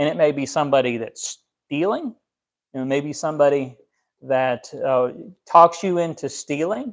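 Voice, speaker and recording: With long, frequent pauses, a man speaks at a moderate pace in a fairly high voice with ordinary pitch variation, over a quiet background. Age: 30s. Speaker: pastor; preacher. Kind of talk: sermon. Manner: halting. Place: home room.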